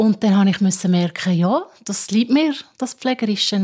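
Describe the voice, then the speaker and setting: In a very clean recording with a silent background, a woman with a Swiss accent talks at a medium pitch in a somewhat breathy voice. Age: 50s. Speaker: care assistant. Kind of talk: interview.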